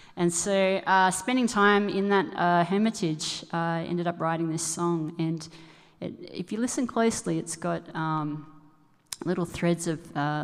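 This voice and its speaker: A woman with an Australian accent speaks at a moderate pace in a fairly low pitch. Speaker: musician. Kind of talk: song introduction at concert. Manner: halting.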